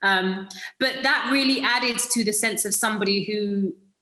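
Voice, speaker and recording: Audible room echo surrounds a woman speaking at a moderate pace and medium pitch in a British accent. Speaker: actress. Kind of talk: interview. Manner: hesitant, many fillers.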